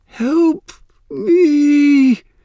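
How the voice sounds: A man does a put-on character voice, extremely high for a man with a dark, mellow tone and ordinary pitch variation, at a very slow pace. The sound is dry and close with no echo, on a very clean recording with a silent background.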